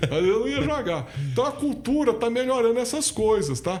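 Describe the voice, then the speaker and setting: A man speaks in an extremely high voice, his pitch swinging very widely. Noticeable background noise and audible room echo surround him. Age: 60s. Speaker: party president, businessman and lawyer. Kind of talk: podcast interview.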